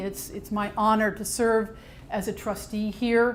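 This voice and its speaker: There is audible room echo around a woman's fairly high-pitched voice. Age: 60s. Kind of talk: public talk.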